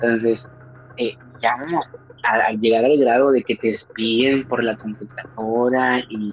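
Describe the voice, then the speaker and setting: A man speaks at a fairly slow pace and medium pitch, monotone and flat. Noticeable background noise runs underneath. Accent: Mexican. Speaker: podcast host. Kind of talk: casual chat.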